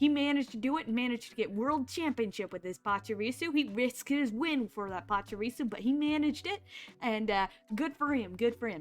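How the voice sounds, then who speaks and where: Very clean recording with a silent background of a woman with an American accent, high-pitched, with ordinary pitch variation and a fairly quick pace. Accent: southern US, slips into it. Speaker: vtuber streamer. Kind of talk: casual chat. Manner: animated.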